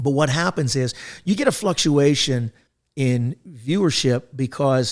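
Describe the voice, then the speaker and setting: An ordinary speaking voice from a man, fairly high in pitch with ordinary pitch variation, on a very clean recording with a silent background. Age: 60s. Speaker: podcast host and business consultant. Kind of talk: casual chat.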